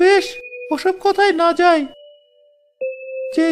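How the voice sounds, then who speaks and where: A cartoonish character voice at a moderate pace over faint background music. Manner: mocking, haggling.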